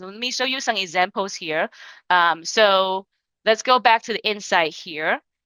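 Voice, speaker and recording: A woman speaks with a non-native accent in a bright, sharp tone. The sound is dry and close, with no echo. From China. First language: Chinese. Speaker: sales entrepreneur. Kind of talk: webinar tutorial. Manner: halting.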